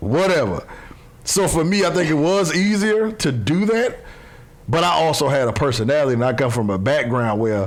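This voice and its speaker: In audible room echo with noticeable background noise, a man speaks at a fairly high pitch and moderate pace, with very wide pitch swings but very even loudness. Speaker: former football player and coach. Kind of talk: casual chat.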